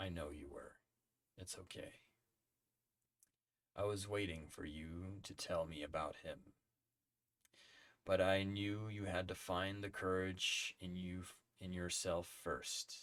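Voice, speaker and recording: A man uses a put-on character voice with a very deep, low pitch and fairly even intonation. He speaks at a fairly slow pace, with long, frequent pauses. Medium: read story.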